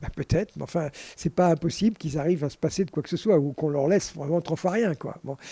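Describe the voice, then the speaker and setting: Speaking at a very fast pace, a man with a fairly high pitch and dark, mellow tone uses ordinary pitch variation in a dry, close sound with no echo. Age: 80s+. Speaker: scientist. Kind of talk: casual interview conversation.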